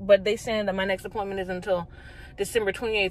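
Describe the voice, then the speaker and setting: A woman speaks in a dry sound with no echo. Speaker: pregnant vlogger. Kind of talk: casual vlog chat. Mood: annoyed, frustrated. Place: car. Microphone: phone near.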